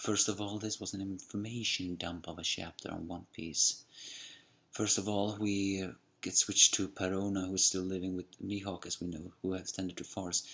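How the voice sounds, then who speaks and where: A quiet, very deep, low male voice in monotone, flat intonation at a moderate pace, on a very clean recording with a silent background. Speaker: anime and manga reviewer. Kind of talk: manga chapter review. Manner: talking a little bit quietly; halting, self-correcting.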